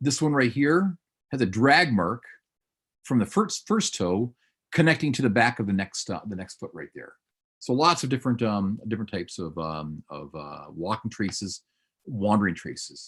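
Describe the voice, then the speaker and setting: A man speaks at a medium pitch. His pitch swings very widely and his loudness shifts a lot. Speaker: paleontology professor. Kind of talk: lecture. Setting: webinar video call. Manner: fast; animated.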